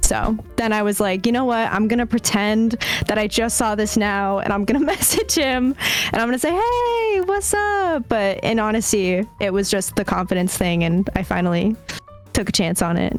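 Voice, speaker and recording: At a moderate pace and very even loudness, a woman with a US East Coast accent speaks in a fairly high pitch with ordinary pitch variation, over noticeable background noise. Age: 20s. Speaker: Twitch streamer and college student. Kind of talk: casual chat.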